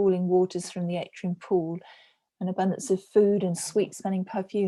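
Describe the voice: Plain reading aloud comes over a quiet background.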